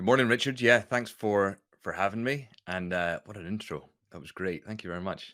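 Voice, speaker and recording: On a very clean recording with a silent background, a man with a fairly low pitch talks at a fairly quick pace in a bright, sharp tone, with ordinary pitch variation and big swings in loudness. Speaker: entrepreneur and author. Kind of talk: interview.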